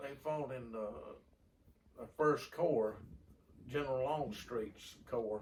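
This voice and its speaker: With a Southern US accent, a man of medium pitch speaks at a very slow pace, with long, frequent pauses and big swings in loudness. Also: ordinary pitch variation. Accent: Southern US rural. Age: 70s. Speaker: grandfather interviewee. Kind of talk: reminiscing. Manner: halting.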